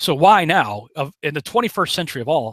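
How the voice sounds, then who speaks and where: Vocal fry marks this man's bright, sharp tone, which swings very widely in pitch in a dry, close sound with no echo. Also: very clean recording, silent background. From western Massachusetts (Chicopee). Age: 40s. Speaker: online preacher and screenwriter, conspiracy researcher. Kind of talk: casual interview chat.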